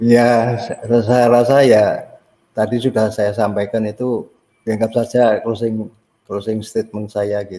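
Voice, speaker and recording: A man speaks very slowly at medium pitch, his tone dark and mellow. His intonation is flat and monotone. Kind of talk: casual discussion. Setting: video call.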